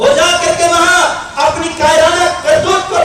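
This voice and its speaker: Crowd noise fills the background, and the room echo is audible. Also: man. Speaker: political speaker. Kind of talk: political rally speech. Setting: stage with audience, PA system. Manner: oratorical, impassioned.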